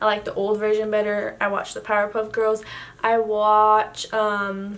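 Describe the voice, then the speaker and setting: A woman's fairly high voice stays monotone, with flat intonation. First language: Spanish. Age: 18. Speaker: YouTuber. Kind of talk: casual chat. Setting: home, night, yellow lamp. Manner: hesitant, filler-heavy.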